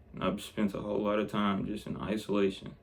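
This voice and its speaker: A man with a fairly low pitch speaks at a moderate pace. His voice has vocal fry and ordinary pitch variation. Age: 20s. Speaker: vlogger. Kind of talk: casual monologue.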